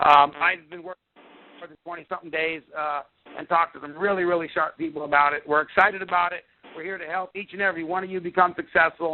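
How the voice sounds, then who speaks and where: Talking at a very fast pace, a man with high pitch makes big swings in loudness. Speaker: sales executive on company call. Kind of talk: conference call presentation. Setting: phone conference call. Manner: animated.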